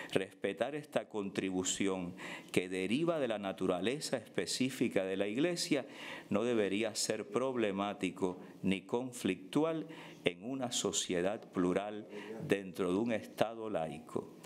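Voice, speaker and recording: Spoken in a normal speaking voice at a fairly slow pace, the delivery carries lively intonation. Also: man, fairly low pitch for a man. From Cuba. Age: 50s. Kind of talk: prepared speech read aloud at a panel. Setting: conference panel. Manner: formal.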